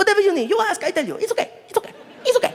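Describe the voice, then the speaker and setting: This put-on character voice squeaks along at an extremely high pitch and a very fast pace. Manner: eager, reassuring.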